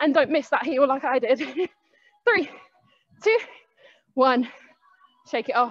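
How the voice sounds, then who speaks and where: A woman's high-pitched voice over a quiet background. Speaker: fitness instructor. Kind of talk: workout class instruction. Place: gym. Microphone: headset.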